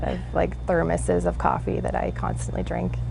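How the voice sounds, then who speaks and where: A woman at a fairly quick pace and in a calm tone, with audible room echo and noticeable background noise. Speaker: 911 dispatcher. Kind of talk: interview. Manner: soft-spoken.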